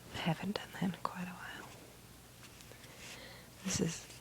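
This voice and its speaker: Someone whispers in a soft-spoken way. Noticeable background noise runs underneath. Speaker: ASMR video maker. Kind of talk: ASMR soft-speaking video to help with sleep. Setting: recorded at night while trying to sleep. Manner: soft-spoken, whispery.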